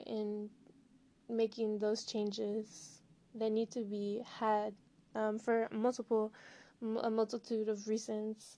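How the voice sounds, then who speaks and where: A woman speaks very slowly with a fairly high pitch and a dark, mellow tone. Her intonation stays monotone and flat. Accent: American. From Southern California and Colorado. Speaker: student podcaster. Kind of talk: monologue podcast introduction.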